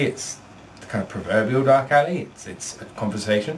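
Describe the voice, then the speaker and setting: A man speaks over noticeable background noise. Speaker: vlogger. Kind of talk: casual vlog. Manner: animated.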